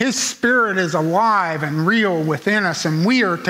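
Against a quiet background, a man with a high voice speaks at a fairly slow pace, raising and projecting it. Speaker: preacher. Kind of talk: sermon; fervent prayer, sincere and pleading. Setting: church. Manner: earnest, measured, reflective; heartfelt, solemn, fervent in prayer. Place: church.

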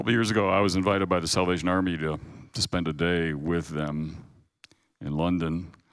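Against a quiet background, a man with an American accent and a very deep, low voice talks very fast with fairly even intonation. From US Pacific Northwest. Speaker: guest lecturer. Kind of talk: sermon. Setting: chapel with audience. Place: hall. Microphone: handheld.

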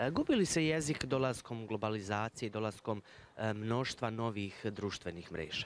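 A man talks at a moderate pace with ordinary pitch variation. The sound is dry with no echo, and there is light background noise. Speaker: morning TV show host. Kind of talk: TV interview. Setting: TV studio. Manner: formal. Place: street. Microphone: handheld.

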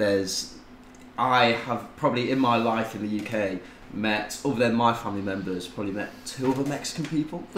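A man talks at a moderate pace with a British accent and ordinary pitch variation. Light background noise and audible room echo surround him. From UK. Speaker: tattoo client; podcast guest. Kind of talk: casual chat. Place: home room.

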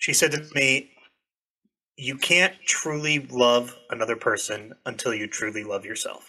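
A man speaks at a fairly slow pace in a bright, sharp tone. His pitch varies in an ordinary way. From New Hampshire, US. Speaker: airsoft content creator. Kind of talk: casual chat. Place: home room. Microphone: studio mic.

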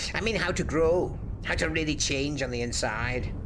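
Amid loud background noise, a man does a put-on character voice at a fairly high pitch and a moderate pace. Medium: audio drama. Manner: brisk, quietly authoritative.

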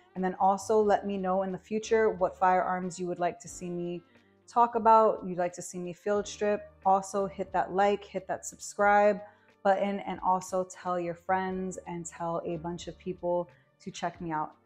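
Over faint music in the background, a woman speaks at a moderate pace in a monotone, flat intonation. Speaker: firearm reviewer. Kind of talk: casual product review. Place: studio.

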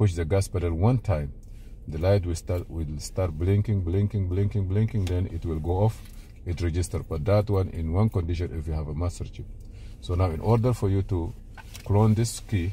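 A man with a very deep, low voice speaks at a moderate pace with ordinary pitch variation and a somewhat breathy quality, the sound dry with no echo and light background noise present. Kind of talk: tutorial. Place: car. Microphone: phone near.

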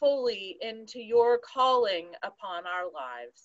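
Pitch varies in an ordinary way as a woman speaks at a very slow pace. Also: quiet background. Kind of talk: scripture reading and prayer. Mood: calm, reverent. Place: home room. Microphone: video call.

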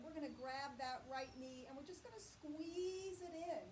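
Through noticeable background noise, a woman talks in a high pitch with ordinary variation. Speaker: chair yoga instructor. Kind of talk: guided yoga class with spoken movement and breath cues. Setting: online video class. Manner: gentle, encouraging, steady pace. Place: home room.

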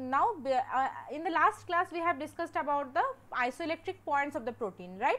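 At a moderate pace, a woman speaks in a high pitch with very wide pitch swings over noticeable background noise. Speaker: teaching assistant. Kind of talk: lecture.

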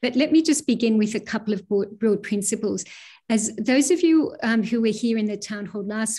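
A woman with a fairly high pitch and a somewhat breathy voice, over a quiet background. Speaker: university vice provost. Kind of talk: formal address to students. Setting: video call. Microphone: video call.

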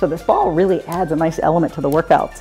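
A woman's fairly low-pitched voice with faint music in the background. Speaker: fitness coach. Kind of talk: workout instruction. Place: home room.

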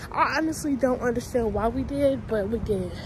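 A woman's lively intonation, dry sound with no echo, and light background noise. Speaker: lifestyle vlogger; college student vlogger. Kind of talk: casual vlog chat. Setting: outdoors and in a grocery store. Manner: animated.

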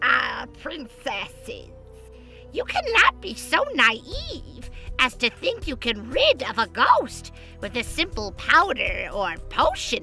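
A woman at a fairly slow pace over clear background music. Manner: condescending, brusque.

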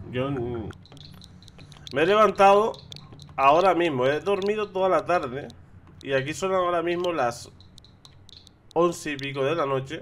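Pausing long and often, a man talks at a fairly slow pace in a fairly high pitch with a fairly bright tone. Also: ordinary pitch variation.

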